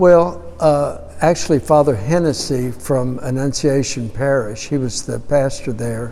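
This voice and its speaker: A man with an American accent speaks at a fairly high pitch and a fairly slow pace, with ordinary pitch variation and hardly any pauses. Noticeable background noise and audible room echo are present. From Houston, Texas. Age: 70s. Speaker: parish archivist. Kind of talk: oral history interview. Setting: parish auditorium. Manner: hesitant, with many fillers.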